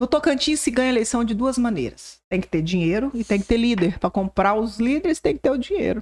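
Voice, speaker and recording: A woman's fairly high, ordinary speaking voice, fairly quick with hardly any pauses, lively intonation, very even loudness and a dry, close sound with no echo. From Brazil, southwest Goiás. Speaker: political journalist. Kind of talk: casual interview.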